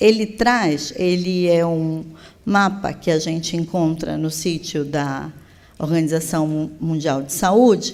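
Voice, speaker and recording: Audible room echo surrounds a woman's voice. She speaks at a very slow pace with ordinary pitch variation. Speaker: public health official. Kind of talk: conference plenary lecture. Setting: conference stage with audience.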